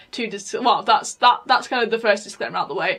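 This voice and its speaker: The speaker is a woman with a British accent. Her pitch is fairly high. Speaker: podcaster. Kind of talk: casual chat. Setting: home recording. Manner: halting.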